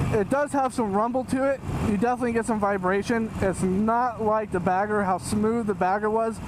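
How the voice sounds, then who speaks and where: A man's high voice at a fairly quick pace, fairly even in intonation and very even in loudness, over noticeable background noise. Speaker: motorcycle vlogger. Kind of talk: vlog commentary while riding. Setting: outdoors on a motorcycle. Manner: fast.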